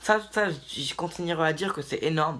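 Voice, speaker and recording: The recording is very clean, with a silent background. A man speaks in an animated tone at a fairly quick pace. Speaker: basketball YouTuber. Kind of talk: video commentary monologue.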